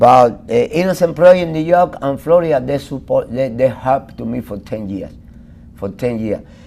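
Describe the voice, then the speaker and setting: A man with a Cuban accent speaks at a moderate pace in a medium pitch, his intonation lively and his loudness swinging widely. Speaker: exoneree. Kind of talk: interview. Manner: halting.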